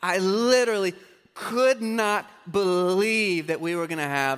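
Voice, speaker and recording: A man's high, bright, sharp voice with lively intonation. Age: 30s. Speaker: pastor. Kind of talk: sermon.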